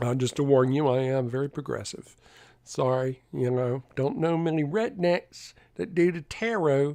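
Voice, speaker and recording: With a Southern accent, a man with a fairly high pitch and a dark, mellow tone talks at a moderate pace with lively intonation over a quiet background. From US South. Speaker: tarot reader streamer. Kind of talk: live stream chat. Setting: live stream.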